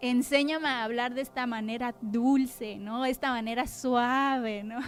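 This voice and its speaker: A woman talks at a fairly slow pace in a high voice, her intonation flat and monotone. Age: 30s. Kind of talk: testimony. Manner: sharp, clipped speech.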